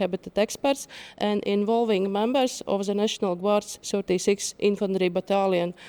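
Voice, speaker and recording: A woman with a Latvian accent speaks at a moderate pace in a fairly high, dark, mellow voice. The sound is dry and close with no echo, on a very clean recording with a silent background. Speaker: nature conservation outreach worker. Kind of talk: conference presentation. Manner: halting, reading from paper.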